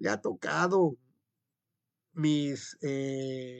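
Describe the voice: Speaking at a very slow pace, a man uses a medium pitch and a clear, smooth tone with vocal fry and ordinary pitch variation.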